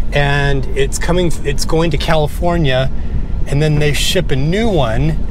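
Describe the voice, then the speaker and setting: A man's voice comes through with a dry sound, no echo, and noticeable background noise. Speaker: RV dweller vlogger. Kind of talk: casual vlog chat. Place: car.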